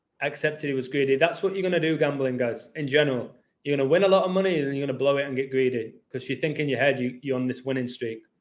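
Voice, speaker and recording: A man with a fairly high pitch speaks at a very fast pace, with ordinary pitch variation and hardly any pauses. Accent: English. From England. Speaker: YouTuber. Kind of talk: live stream chat. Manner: animated.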